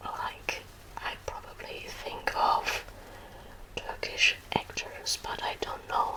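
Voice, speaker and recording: Whispering very slowly with a German accent, a woman is heard over noticeable background noise. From Germany. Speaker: ASMR creator. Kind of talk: Q&A chat to viewers, ASMR. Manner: soft-spoken, whispery; hesitant, many fillers.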